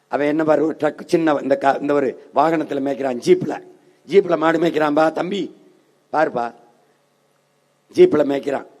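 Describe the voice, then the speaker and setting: Dark, mellow tone with fairly even intonation. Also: man. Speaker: political party leader giving an election campaign speech. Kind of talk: political rally speech.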